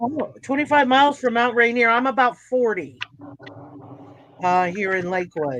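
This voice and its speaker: A woman with an American accent and a fairly high pitch speaks at a moderate pace with lively intonation and long, frequent pauses. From California, San Francisco. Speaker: craft livestream host. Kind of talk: casual chat. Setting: live video stream.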